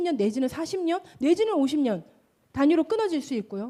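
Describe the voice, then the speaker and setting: At a fairly quick pace, a woman with a high pitch and a dark, mellow tone moves through very wide pitch swings. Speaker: pastor. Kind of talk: sermon.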